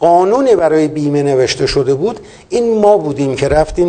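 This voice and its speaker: This man's high voice carries ordinary pitch variation as he talks at a fairly quick pace. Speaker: poultry industry veteran and agricultural engineer. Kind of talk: interview.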